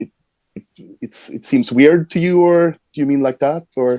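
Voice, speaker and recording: With a Swedish accent, this voice has a dark, mellow tone, ordinary pitch variation and a fairly quick pace, recorded dry and close with no echo. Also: man. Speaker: metal band singer. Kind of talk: interview.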